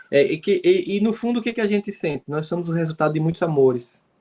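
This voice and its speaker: A man with a northeastern Brazilian accent, high-pitched, at a moderate pace with ordinary pitch variation. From Brazil, Northeast. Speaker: psychologist and speaker. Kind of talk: live interview.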